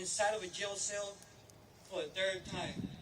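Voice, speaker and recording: The speech moves at a fairly slow pace. Noticeable background noise runs underneath. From Los Angeles, US. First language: Spanish. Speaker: graduating student speaker. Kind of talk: commencement speech.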